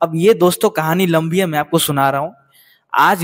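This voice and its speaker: A man speaks against a quiet background. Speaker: show news commentator. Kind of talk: commentary. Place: garden. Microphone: handheld.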